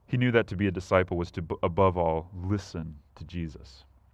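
A man talks in a very deep, low voice with fairly even intonation. The background is quiet. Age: 20s. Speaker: preacher. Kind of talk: sermon. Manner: halting, frequent repetitions and fillers.

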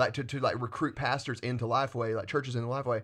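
Against a quiet background, a man with a Southern US accent talks at a very fast pace and a medium pitch. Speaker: student pastor. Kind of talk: casual podcast chat about faith. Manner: fast talker.

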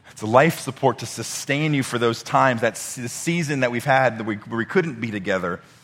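At a fairly quick pace, a man speaks with a medium pitch and ordinary pitch variation. Noticeable background noise is present. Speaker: pastor. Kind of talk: sermon. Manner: halting.

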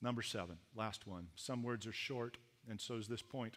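Speaking with a Canadian accent, a man has an ordinary speaking voice at a medium pitch with ordinary pitch variation. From Canada. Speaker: pastor. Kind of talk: sermon.

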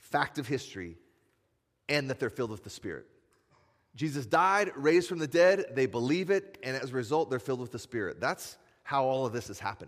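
A man with an ordinary speaking voice talks at a fairly quick pace with lively intonation. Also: medium pitch for a man. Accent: American. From US Midwest (Iowa). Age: 40s. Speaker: pastor. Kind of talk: sermon.

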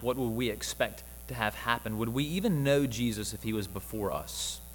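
Speaking at a fairly quick pace with hardly any pauses, a man talks with a Southern US accent. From US South, Mississippi (Jackson). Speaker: campus minister. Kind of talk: sermon.

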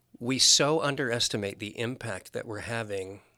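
With an American accent, a man talks at a fairly slow pace in a bright, sharp tone at medium pitch, on a very clean recording with a silent background. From US Midwest (Nebraska). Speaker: pastor. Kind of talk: casual chat.

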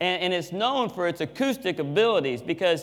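A man speaks loudly. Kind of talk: sermon. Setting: church with live audience and microphone.

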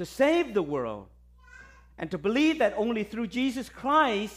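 On a very clean recording with a silent background, a man with a Vietnamese accent speaks at a moderate pace with very wide pitch swings. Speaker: visiting pastor. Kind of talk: sermon. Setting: church. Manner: hesitant, many fillers and repetitions.

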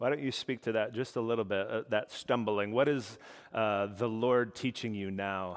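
A man talks in an unremarkable speaking voice at a medium pitch. His intonation is fairly even and his pace moderate. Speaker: pastor. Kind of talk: sermon. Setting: church.

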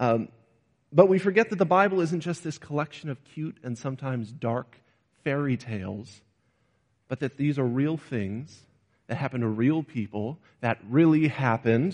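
Using a plain, everyday voice, this man talks with lively intonation, a fairly high pitch and a moderate pace. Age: 20s. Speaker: preacher. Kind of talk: sermon.

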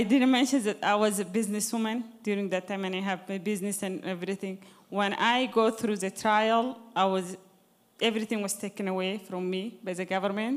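A woman's medium-pitched voice in an Arabic accent, moderately paced, with fairly even intonation. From Sudan. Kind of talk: testimony.

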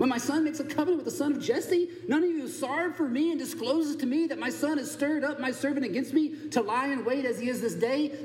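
A put-on character voice, whiny and delivered at a very fast pace. Slight echo and clear background noise are present. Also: man. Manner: self-pitying, complaining.

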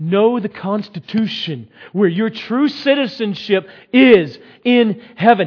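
A man speaks at a slow pace, his voice carrying a slightly husky edge.

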